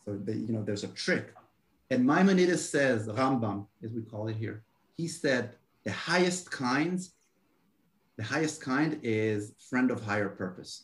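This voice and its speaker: A man speaks at a fairly slow pace with a medium pitch, lively intonation, a somewhat breathy quality and long, frequent pauses. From Israel. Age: 30s. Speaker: marketing consultant. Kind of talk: interview.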